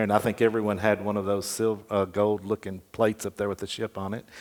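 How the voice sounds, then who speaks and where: A man speaks with a Tennessee accent in a fairly low pitch. His intonation is monotone and flat. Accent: Southern US (Tennessee). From US South. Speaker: memoir author. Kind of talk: interview. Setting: stage with audience.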